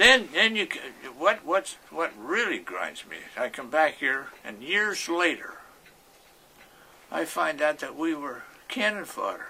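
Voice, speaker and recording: A man with a high pitch and very wide pitch swings talks at a fairly slow pace with long, frequent pauses and big swings in loudness, over noticeable background noise. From Pittsburgh, East Liberty. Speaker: war veteran. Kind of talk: interview, personal war recollections. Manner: halting, with many repetitions and false starts.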